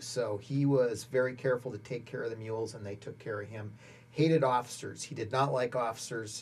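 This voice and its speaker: A man talks with an American accent, his voice somewhat breathy. His pitch moves with ordinary variation. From Montana, US. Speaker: army veteran; interviewee. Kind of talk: oral history interview. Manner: halting, many fillers. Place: studio.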